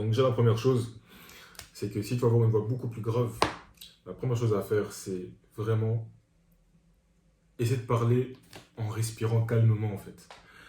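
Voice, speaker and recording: A man speaks in a dark, mellow, somewhat breathy tone with monotone, flat intonation. Long, frequent pauses break his speech, and audible room echo surrounds it. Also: moderate pace. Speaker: men's coach, video creator. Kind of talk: tutorial.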